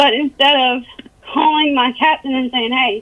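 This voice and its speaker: Lively intonation marks a woman's high-pitched voice. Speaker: police officer under internal investigation. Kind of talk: interview testimony. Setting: phone call. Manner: mumbling.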